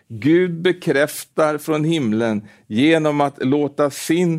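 A man speaks at a very slow pace with lively intonation. The recording is very clean, with a silent background. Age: 70s. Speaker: preacher. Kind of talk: sermon. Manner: halting with repetitions.

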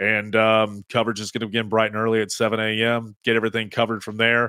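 A man with an American accent speaks at a medium pitch and a fairly quick pace. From East Tennessee. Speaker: sports radio host. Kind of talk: casual chat. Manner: animated.

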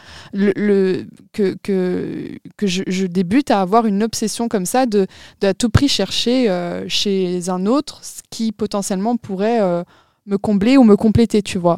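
A woman speaks at a fairly slow pace in a dark, mellow, medium-pitched voice with ordinary pitch variation. The sound is dry and close with no echo, on a very clean recording with a silent background. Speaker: podcast co-host, student. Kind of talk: casual chat.

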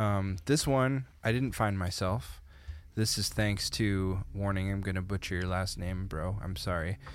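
A man with a Canadian accent and a plain, everyday voice speaks at a fairly slow pace. His fairly low pitch shows ordinary variation. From small-town Canada. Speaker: podcast co-host. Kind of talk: casual chat.

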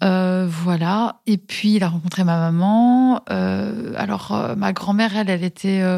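A woman talks at a medium pitch with fairly even intonation. The recording is very clean, with a silent background. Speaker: schoolteacher and communication trainer. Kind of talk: interview testimony. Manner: halting, many fillers and repetitions.

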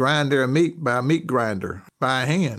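Here a man is speaking. He has a Southern US accent. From US South, North Carolina. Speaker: university professor of logistics. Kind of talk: interview conversation.

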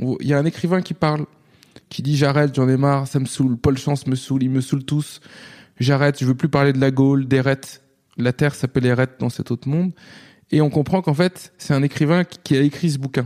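At a fairly quick pace, a man speaks in a fairly high, dark, mellow voice, recorded dry and close with no echo. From France, Nantes. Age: 30s. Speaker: novelist. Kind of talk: interview. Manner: animated; halting.

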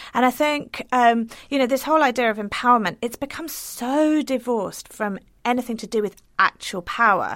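Heard in a very clean recording with a silent background, a high-pitched woman speaks with an English accent. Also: ordinary pitch variation, moderate pace. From England. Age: 40s. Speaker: writer. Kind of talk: interview.

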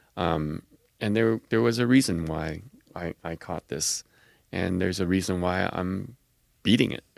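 Very deep and low, a man's voice moves with lively intonation at a fairly slow pace, with long, frequent pauses and a dry, close sound with no echo. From Quebec City, Canada. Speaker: blood cancer survivor and registry advocate. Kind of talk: interview.

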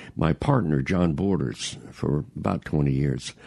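In a Mississippi accent, a man speaks at a very deep, low pitch with ordinary pitch variation. His pace is fairly slow. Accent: Southern US, Mississippi. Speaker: veteran radio broadcaster, author, podcast guest. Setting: radio studio.

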